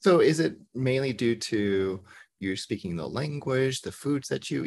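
A plain, everyday voice: a man with an American accent, medium in pitch, lively in intonation, at a fairly slow pace. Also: very clean recording, silent background. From US South. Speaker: podcast host, therapist. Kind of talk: casual chat.

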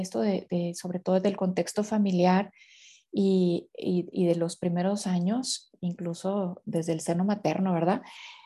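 With a Mexican accent and a dark, mellow tone, the speaker talks at a moderate pace over a quiet background. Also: woman. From Mexico. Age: 50s. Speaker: consecrated laywoman, inner healing specialist. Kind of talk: podcast interview on faith and inner healing.

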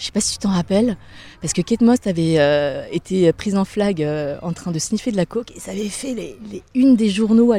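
A woman speaks with lively intonation and big swings in loudness. Her tone is dark and mellow, and the sound is dry and close with no echo. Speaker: radio presenter. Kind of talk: interview. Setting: outdoors, walking in a park.

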